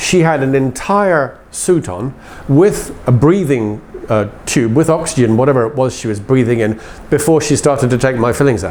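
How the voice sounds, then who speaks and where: Noticeable background noise sits behind a man speaking at a moderate pace. His pitch is fairly high, and his intonation is lively. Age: 60s. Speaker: interviewer. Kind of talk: interview.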